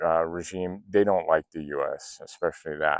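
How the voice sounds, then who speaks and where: Recorded with a dry, close sound with no echo against a quiet background, a man with an American accent speaks at a fairly slow pace with ordinary pitch variation. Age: 50s. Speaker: political commentator. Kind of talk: casual monologue. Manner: hesitant, many fillers.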